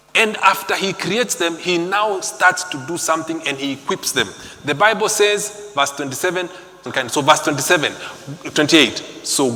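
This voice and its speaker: Amid noticeable background noise and audible room echo, a man speaks at a high pitch and moderate pace with lively intonation and long, frequent pauses. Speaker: preacher. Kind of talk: sermon. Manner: animated.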